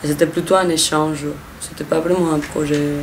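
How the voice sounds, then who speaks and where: In an audible room echo with noticeable background noise, a woman with a Spanish accent and a very deep, low pitch keeps her intonation fairly even. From Mexico. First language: Spanish (speaking French). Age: 20s. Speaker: volunteer. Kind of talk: interview. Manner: hesitant, with restarts.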